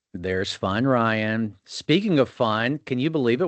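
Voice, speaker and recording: Dry and close with no echo over a quiet background, a man's medium-pitched voice moves at a moderate pace with lively intonation. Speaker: podcast host. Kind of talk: casual chat. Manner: animated.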